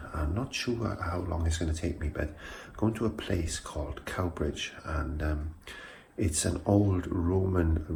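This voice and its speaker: A man speaks quietly and very slowly with a South Welsh accent. His voice is somewhat breathy and very deep. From South Wales. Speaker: vlogger. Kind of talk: casual vlog monologue. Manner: quiet, hushed; hesitant, many fillers.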